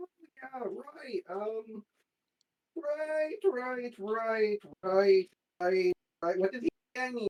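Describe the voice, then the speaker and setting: A put-on character voice, pitched fairly high, delivered at a very slow pace. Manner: casual, hesitant, amateur attempt at the accent.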